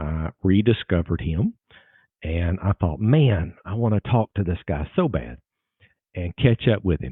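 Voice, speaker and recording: A man with a Southern US accent speaks at a very deep, low pitch with lively intonation. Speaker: lawyer and podcast host. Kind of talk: podcast interview.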